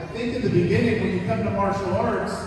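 Strong room echo fills the recording, along with light background noise. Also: man. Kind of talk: speech to an audience. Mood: warm, lightly humorous. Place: hall. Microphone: pa.

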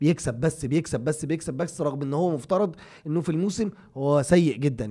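A man in an animated tone at a moderate pace over a quiet background. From Egypt. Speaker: football podcast co-host. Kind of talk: casual chat. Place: studio. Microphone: studio mic.

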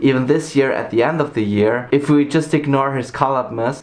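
Over music in the background, a man with a German accent talks at a fairly quick pace in a medium pitch. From Germany, Saarland. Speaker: YouTuber. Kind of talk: scripted countdown narration. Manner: upbeat. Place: home room.

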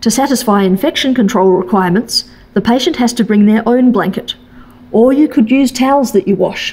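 At a fairly quick pace, a woman talks with ordinary pitch variation. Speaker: presenter. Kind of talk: lecture. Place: hall. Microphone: podium.

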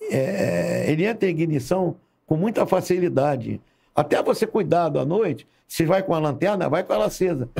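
Against a quiet background, a man with a high pitch and dark, mellow tone speaks at a moderate pace with ordinary pitch variation. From Rio de Janeiro, Marechal Hermes; Rio de Janeiro. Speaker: retired fire brigade colonel; podcast guest. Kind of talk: casual interview storytelling. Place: studio. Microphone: studio mic.

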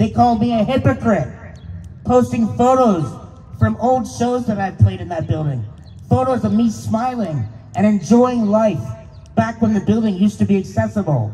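A man with an American accent talks at a moderate pace, with long, frequent pauses. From Pennsylvania, US. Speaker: speaker. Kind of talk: rally speech. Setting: stage with audience. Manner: earnest, impassioned. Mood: aggrieved, earnest. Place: street. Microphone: handheld.

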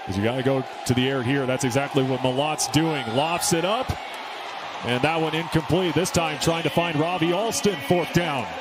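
The speech has ordinary pitch variation, with noticeable background noise behind it. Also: man, fairly high pitch for a man. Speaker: play-by-play announcer. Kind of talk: live play-by-play sports commentary. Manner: rapid-fire, clipped play calls; energetic and animated.

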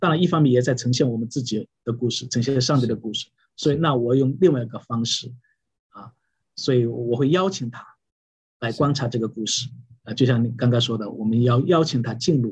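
A somewhat breathy man talks at a fairly quick pace with a medium pitch and ordinary pitch variation. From China, Wenzhou (Yueqing). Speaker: pastor. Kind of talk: interview about preaching. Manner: halting, many fillers.

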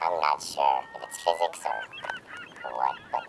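The speaker puts on a character voice at a fairly slow pace. Clear background noise can be heard. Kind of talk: comedic character monologue. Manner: rambling, hesitant.

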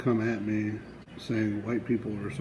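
With an American accent, a man speaks at a moderate pace and a medium pitch, his intonation monotone and flat. Noticeable background noise runs under the voice. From Wichita, Kansas. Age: 30s. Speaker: truck driver trainee. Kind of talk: casual talk to camera. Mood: aggrieved, complaining.

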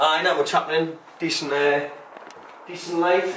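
Audible room echo surrounds a man speaking at a moderate pace. His fairly high voice has a fairly bright tone and ordinary pitch variation.

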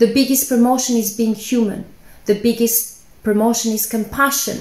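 A woman with an Albanian accent speaks in a fairly high, flat monotone. Audible room echo surrounds her voice. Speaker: scientist. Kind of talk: personal testimony speech. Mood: earnest, calm, heartfelt. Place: home room. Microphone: phone near.

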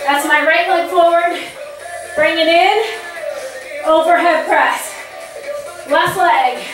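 A very slow voice with fairly even intonation, audible room echo and clear music in the background. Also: woman, extremely high pitch for a woman. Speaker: fitness instructor. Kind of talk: workout instruction and counting. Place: home room. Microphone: camera far.

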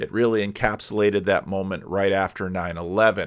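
Over a quiet background, a man speaks at a moderate pace in a fairly low pitch. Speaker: commentator. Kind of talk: commentary. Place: home room. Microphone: studio mic.

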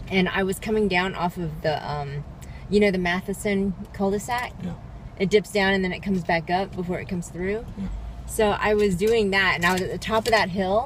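Fairly quick speech with fairly even intonation, dry with no echo, under light background noise. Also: woman. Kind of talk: casual vlog chat. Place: car. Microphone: phone near.

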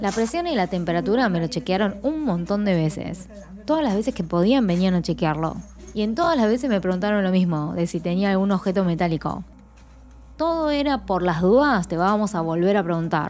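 A woman talks fairly quickly while faint music plays behind her. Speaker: vlogger. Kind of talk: casual vlog chat.

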